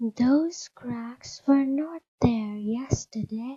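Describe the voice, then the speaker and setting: A woman's put-on character voice, high, husky and soft-spoken, at a very slow pace. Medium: read story. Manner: soft, composed.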